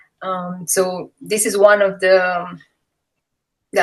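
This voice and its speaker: A medium-pitched woman with a Romanian accent. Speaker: MS patient sharing her story. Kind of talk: testimony.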